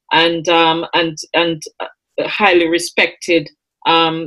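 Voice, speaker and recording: Here a woman is speaking. Her pitch is fairly low. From Jamaica. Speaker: food safety business owner. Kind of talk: panel discussion. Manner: halting, many fillers.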